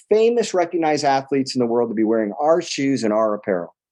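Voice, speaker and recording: A man's fairly high, dark and mellow voice with very wide pitch swings, at a fairly quick pace against a quiet background. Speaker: entrepreneur. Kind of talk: interview. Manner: fast; animated.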